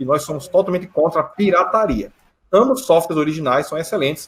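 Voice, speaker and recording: This is a man speaking. His pitch is high. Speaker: geoprocessing instructor. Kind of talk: conference talk Q&A. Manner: fast.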